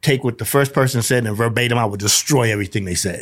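A man speaks in a New York accent. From New York, Brooklyn. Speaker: nonprofit founder in prisoner reentry, formerly incarcerated. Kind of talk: interview testimony. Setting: radio studio. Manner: animated.

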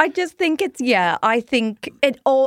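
At a fairly slow pace, a woman with an Irish accent makes very wide pitch swings, captured in a very clean recording with a silent background and a dry, close sound with no echo. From Ireland. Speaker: comedian. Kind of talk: casual chat. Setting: studio.

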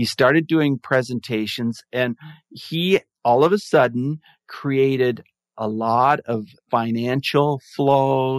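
This man has an unremarkable speaking voice, medium in pitch with ordinary pitch variation. The sound is dry and close with no echo, over a quiet background. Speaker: mindfulness advocate and podcaster. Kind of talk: casual interview chat.

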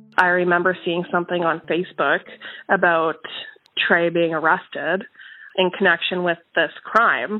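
Flat and monotone, a woman with a Canadian accent and fairly low pitch speaks with long, frequent pauses. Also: moderate pace. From Winnipeg, Manitoba, Canada. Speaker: lawyer and comedian. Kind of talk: interview testimony.

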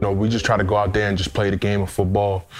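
Amid noticeable background noise and audible room echo, a man with an American accent speaks with a fairly low pitch and monotone, flat intonation. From US Northeast, Queens, New York. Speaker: former pro football player. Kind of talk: interview testimony.

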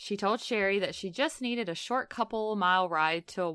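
The reading voice is unforced, and its pitch shifts by an ordinary amount.

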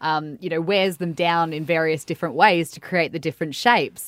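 Fairly even intonation with an Australian accent, in a very clean recording with a silent background. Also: woman. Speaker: radio host. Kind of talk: interview. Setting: studio. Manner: chatty, laughs often.

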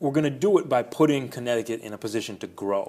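Very fast delivery with lively intonation. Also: man. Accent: American. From New York suburbs, Westchester. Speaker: city mayor. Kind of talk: interview. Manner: halting, repeats words.

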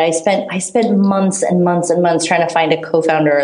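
Over noticeable background noise and audible room echo, a woman talks very fast at a fairly low pitch. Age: 30s. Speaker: startup founder. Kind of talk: interview. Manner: halting, filler-heavy.

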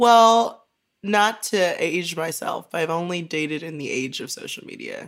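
A woman with an unremarkable speaking voice talks at a fairly slow pace, her pitch fairly low. Her intonation is lively, with big swings in loudness. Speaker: writer. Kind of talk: casual chat.

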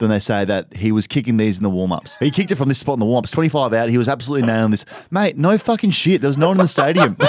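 Talking at a very fast pace with hardly any pauses, a man with an Australian accent keeps a medium pitch and very even loudness while his voice makes very wide pitch swings. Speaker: podcast host. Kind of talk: casual banter, comedic chat. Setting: studio.

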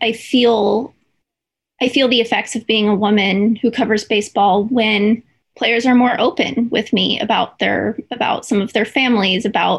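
A woman speaks with fairly even intonation. Her voice has a slightly husky edge.

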